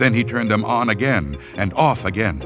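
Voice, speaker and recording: Music plays in the background as a man speaks with lively intonation at a fairly low pitch. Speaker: voice actor. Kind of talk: audiobook horror story narration.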